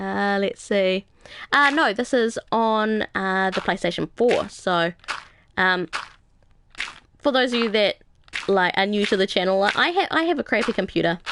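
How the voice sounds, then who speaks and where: A woman with a New Zealand accent and medium pitch speaks at a fairly slow pace with ordinary pitch variation, very even loudness and long, frequent pauses. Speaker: gaming live streamer. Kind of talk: casual live stream chat. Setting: live stream. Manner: hesitant, many fillers.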